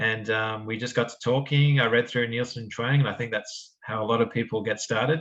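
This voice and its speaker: His intonation stays fairly even. The man talks at a medium pitch. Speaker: researcher in quantum error correction. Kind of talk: academic seminar talk. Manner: casual with frequent fillers.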